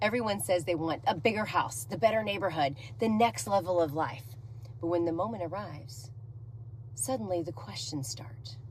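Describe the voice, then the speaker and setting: A loud woman at a moderate pace, with audible room echo. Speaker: real estate agent. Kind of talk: talking-head monologue. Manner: energetic.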